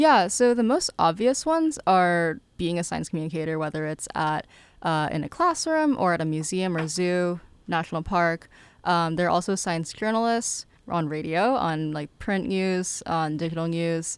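With an American accent, a woman with a fairly low voice and an unremarkable speaking voice talks at a moderate pace, with ordinary pitch variation. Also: very clean recording, silent background. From Massachusetts (Lowell). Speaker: student entrepreneur. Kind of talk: interview.

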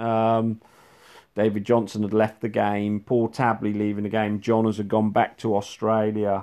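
The background stays quiet. A man's voice sits fairly low in pitch. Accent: English. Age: 50s. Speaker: former real tennis professional and coach. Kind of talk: monologue reminiscence. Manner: hesitant, lots of ums.

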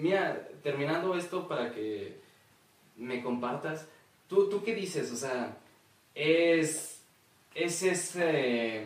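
A man with a Mexican accent and fairly high pitch, lively intonation, a very slow pace with long, frequent pauses, audible room echo and noticeable background noise. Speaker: podcast co-host. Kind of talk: casual chat.

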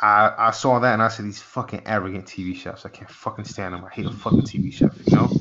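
Talking very fast with hardly any pauses, a man at a fairly low pitch shows ordinary pitch variation and big swings in loudness, with noticeable background noise. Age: 30s. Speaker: podcast host and chef. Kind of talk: casual interview.

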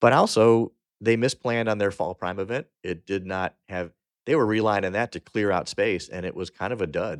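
In a plain, everyday voice, a man talks at a moderate pace with ordinary pitch variation, the sound dry and close with no echo against a quiet background. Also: fairly low pitch for a man. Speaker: podcast host. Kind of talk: casual podcast chat.

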